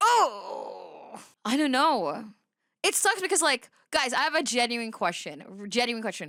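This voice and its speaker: Her raised, projected voice sits high in pitch and swings very widely. The woman speaks at a fairly slow pace. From Philippines. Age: 20s. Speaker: VTuber streamer. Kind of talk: casual live-stream reaction commentary. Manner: animated; halting.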